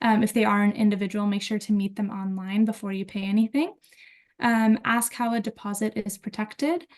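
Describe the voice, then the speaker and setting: A woman with an American accent speaks at a fairly quick pace, somewhat breathy and fairly high in pitch, with fairly even intonation. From United States. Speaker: university student affairs staff. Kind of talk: webinar presentation.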